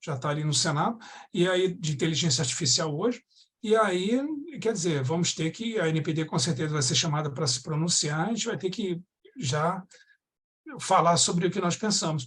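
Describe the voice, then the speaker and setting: The intonation is lively. Pauses are long and frequent. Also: man. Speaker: data protection authority director. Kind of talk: webinar talk. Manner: fast; halting, many restarts.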